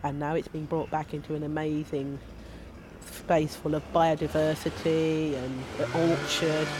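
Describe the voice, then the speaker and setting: In a South London accent, a woman speaks with a very deep, low pitch and monotone, flat intonation. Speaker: community gardener. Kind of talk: casual interview chat. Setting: outdoors in a community garden, shared microphone.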